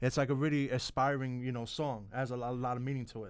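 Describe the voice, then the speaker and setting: A man with a New York accent, medium pitch, fairly even intonation and a fairly quick pace, on a very clean recording with a silent background. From New York, Bronx. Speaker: sports talk show host. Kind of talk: interview. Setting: studio.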